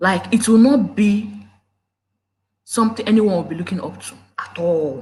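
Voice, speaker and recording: In a Nigerian accent, a woman with a medium pitch speaks fairly slowly in an animated, somewhat breathy voice. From Nigeria, Igbo. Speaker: YouTube relationship commentator. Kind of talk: live stream talk. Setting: live video at home. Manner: animated, emotional. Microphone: problem mic.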